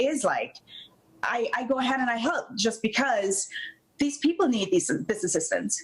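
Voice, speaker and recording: Noticeable background noise runs behind a woman's speech. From Jamaica. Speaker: flight attendant and company founder. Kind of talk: TV interview. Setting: video call.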